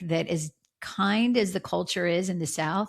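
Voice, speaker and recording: A woman with an unremarkable speaking voice and fairly low pitch speaks at a fairly slow pace in a very clean recording with a silent background. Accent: American. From US Northeast, Philadelphia. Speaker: former TV crime reporter, author. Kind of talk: podcast interview.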